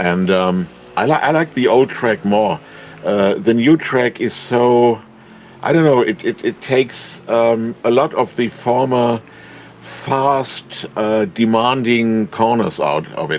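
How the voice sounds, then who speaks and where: Over noticeable background noise, a man of medium pitch with a German accent speaks at a very slow pace with lively intonation. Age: 70s. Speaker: sim racing driver. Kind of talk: interview. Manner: halting.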